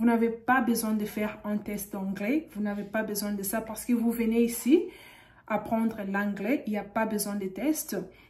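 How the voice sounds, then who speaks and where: A woman talks at a fairly slow pace with fairly even intonation. Her voice is somewhat breathy, against a quiet background. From DR Congo. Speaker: YouTuber giving visa advice; video host giving visa advice. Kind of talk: tutorial. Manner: halting, frequent hesitations. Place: home room. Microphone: studio mic.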